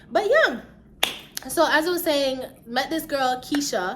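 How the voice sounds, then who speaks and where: Room echo can be heard around this woman's voice. She speaks with an American accent at a high pitch. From Jamaica. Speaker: YouTuber. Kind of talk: storytime vlog, casual chat. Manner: animated; stumbling over words at times.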